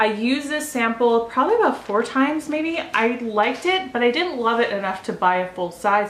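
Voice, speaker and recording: A woman with a high pitch talks at a fairly quick pace, with lively intonation and hardly any pauses. Audible room echo and noticeable background noise fill the recording. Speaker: beauty vlogger. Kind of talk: product review. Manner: fast; casual with fillers.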